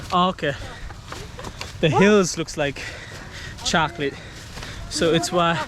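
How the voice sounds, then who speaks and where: A man with a high voice speaks fairly slowly, with long, frequent pauses and noticeable background noise. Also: fairly even intonation. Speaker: travel vlogger. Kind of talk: casual vlog narration. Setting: outdoors. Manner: soft-spoken in places.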